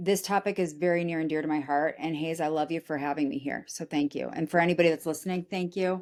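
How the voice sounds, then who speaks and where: Animated in tone, a woman speaks at a fairly quick pace. Her pitch is fairly low, with ordinary pitch variation. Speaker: recruiting firm founder. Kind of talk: interview. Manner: loud when passionate.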